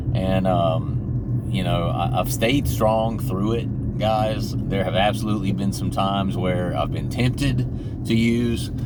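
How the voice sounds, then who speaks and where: Over noticeable background noise and audible room echo, a man with a fairly low pitch speaks very slowly with hardly any pauses and very wide pitch swings. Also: very even loudness. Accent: Georgia. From Georgia, US South. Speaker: YouTuber in addiction recovery. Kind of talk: casual vlog monologue. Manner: casual, many fillers.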